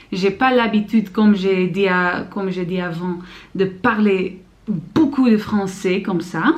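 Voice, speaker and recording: At a very slow pace, a woman speaks in a somewhat breathy voice of medium pitch with ordinary pitch variation. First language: Dutch (speaking French). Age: 20s. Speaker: student vlogger. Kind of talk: vlog. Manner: halting, many fillers.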